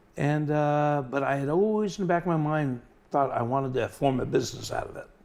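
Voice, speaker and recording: A man with a plain, everyday voice speaks at a fairly quick pace, his fairly high pitch showing ordinary pitch variation. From New York (Long Island), moved to Florida as child. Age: 60s. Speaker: butterfly collector and craftsman. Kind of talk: casual interview.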